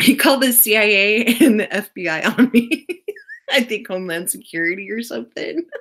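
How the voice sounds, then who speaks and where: A woman's normal speaking voice, fairly high in pitch, with lively intonation and a fairly quick pace. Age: 20s. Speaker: live stream host. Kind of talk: casual chat.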